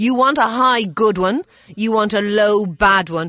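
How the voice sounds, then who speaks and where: Speaking at a moderate pace, the woman uses lively intonation. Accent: Irish. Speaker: doctor (GP). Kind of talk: radio health advice segment. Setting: studio in Dublin.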